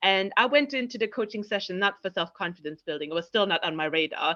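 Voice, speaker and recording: A woman with a German accent speaks fairly quickly in a medium pitch, her tone bright and sharp. Her pitch varies by an ordinary amount against a quiet background. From East Germany. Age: 30s. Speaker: confidence coach and platform founder. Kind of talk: podcast interview. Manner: conversational with frequent fillers.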